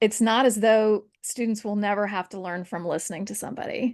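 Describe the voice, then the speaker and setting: Woman's fairly high voice at a moderate pace with ordinary pitch variation, an ordinary speaking voice against a quiet background. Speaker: history professor. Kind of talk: interview conversation.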